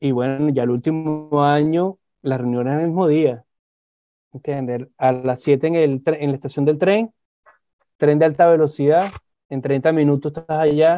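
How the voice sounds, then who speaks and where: With a dark, mellow tone and fairly high pitch, a man speaks at a fairly slow pace with fairly even intonation and long, frequent pauses. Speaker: aerospace engineer. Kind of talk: casual chat.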